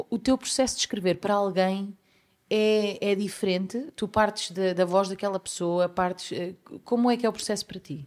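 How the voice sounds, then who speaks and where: A woman with a European Portuguese accent speaks at a moderate pace and medium pitch, with ordinary pitch variation, on a very clean recording with a silent background. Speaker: podcast host, songwriter. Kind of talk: casual interview.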